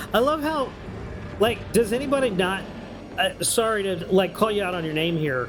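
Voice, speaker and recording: An animated speaker with an American accent leaves long, frequent pauses. Noticeable background noise runs under the voice. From New York. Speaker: video game streamer. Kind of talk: casual live stream chat.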